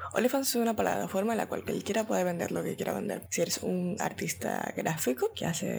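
A woman talks at a fairly quick pace while noticeable background noise plays behind her. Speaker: content creator and podcast host. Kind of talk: casual monologue.

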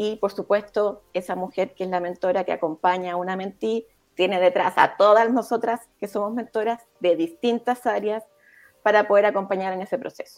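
Her intonation fairly even, a woman with an unremarkable speaking voice talks at a moderate pace. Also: medium pitch for a woman, very clean recording, silent background. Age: 40s. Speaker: psychologist and leadership coach. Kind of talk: interview.

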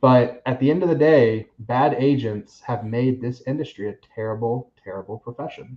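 A man with an American accent and a plain, everyday voice, medium in pitch, at a moderate pace with hardly any pauses and ordinary pitch variation. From Florida, Seminole County. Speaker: realtor. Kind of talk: casual chat.

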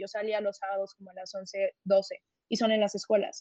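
A woman's fairly high voice has a dark, mellow tone and monotone, flat intonation. She speaks at a moderate pace, and the sound is dry and close with no echo. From Mexico City. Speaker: university debater. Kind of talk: casual interview.

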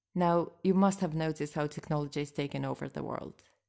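A woman with a Russian accent speaks fairly quickly in a very deep, low pitch and dark, mellow tone, her intonation fairly even on a very clean recording with a silent background. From Moscow, Russia. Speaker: podcast host and interpreter. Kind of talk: scripted narration, podcast monologue.

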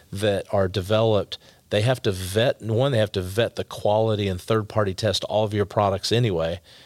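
A man with an American accent has an ordinary speaking voice at a fairly low pitch, with fairly even intonation and a dry, close sound with no echo. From Texas, Dallas area. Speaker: healthcare company founder. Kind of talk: interview.

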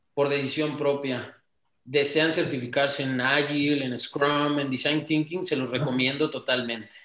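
A man talks in an ordinary speaking voice at a fairly slow pace. His pitch is fairly high and his intonation fairly even. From Mexico, Tamaulipas. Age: 20s. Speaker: entrepreneur. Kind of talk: interview.

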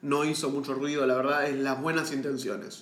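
Noticeable background noise and audible room echo surround this man. His pitch is fairly high and his intonation fairly even. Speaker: podcast host, film commentator. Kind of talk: casual chat.

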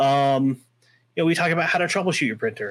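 Recorded very cleanly against a silent background, a man speaks in an ordinary speaking voice at a medium pitch with ordinary pitch variation. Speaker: guest, firearms and 3D printing hobbyist. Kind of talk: casual chat.

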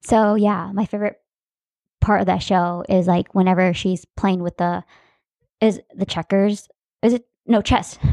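A woman's dark, mellow voice at medium pitch, fairly slow and fairly even in intonation, with long, frequent pauses, a dry, close sound with no echo, and a quiet background. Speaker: podcast co-host. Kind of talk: casual chat.

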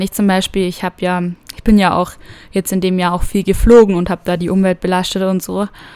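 A woman at medium pitch, moderate pace and monotone, flat intonation. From Germany, small village. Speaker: au pair vlogger. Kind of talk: casual personal monologue. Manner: hesitant, many fillers.

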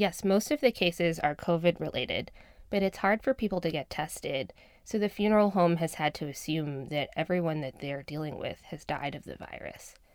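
A woman talks in an ordinary speaking voice, fairly low in pitch, with ordinary pitch variation and a fairly quick pace. Her loudness swings widely. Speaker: reporter. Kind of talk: narrated reporting conversation. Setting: studio.

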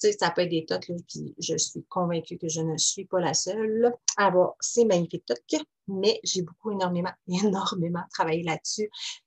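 A woman's somewhat breathy voice at medium pitch and moderate pace, ordinary pitch variation, dry and close with no echo. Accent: Quebec. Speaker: life coach podcaster. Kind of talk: casual solo podcast monologue. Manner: hesitant with many fillers.

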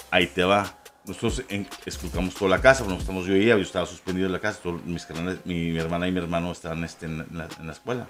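Music plays in the background as a man with a very deep, low pitch speaks at a very fast pace with ordinary pitch variation. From Ciudad Juárez, northern Mexico (US border). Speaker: podcast guest, paranormal enthusiast. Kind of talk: casual chat.

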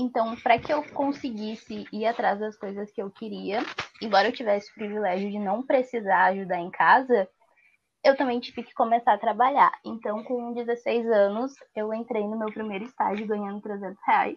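A woman's plain, everyday voice, fairly high in pitch, at a moderate pace, with fairly even intonation and big swings in loudness. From Porto Alegre, southern Brazil. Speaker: university student. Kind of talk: interview.

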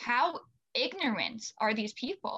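A woman speaks at a fairly high pitch. She has an American accent. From US Midwest, Bellevue, Nebraska. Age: 20s. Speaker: student climate activist. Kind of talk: casual chat. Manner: animated.

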